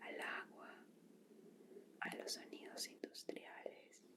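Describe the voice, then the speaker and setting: Someone is whispering at a very slow pace. Noticeable background noise runs underneath. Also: woman. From Colombia. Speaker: ASMR content creator. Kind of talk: whispered ASMR book reading for sleep. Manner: whispered, soft, slow.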